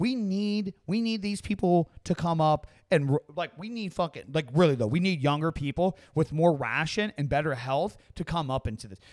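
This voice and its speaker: A man talks with a high pitch and lively intonation, with hardly any pauses. The sound is dry and close with no echo, in a very clean recording with a silent background. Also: moderate pace. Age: 30s. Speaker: YouTuber and podcast host. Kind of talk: casual chat. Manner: halting.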